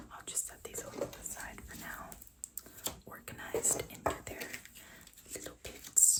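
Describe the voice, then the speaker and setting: Someone is whispering. Noticeable background noise runs behind the voice. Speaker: ASMR content creator. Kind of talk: casual ASMR show-and-tell of card collection. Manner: soft whispering.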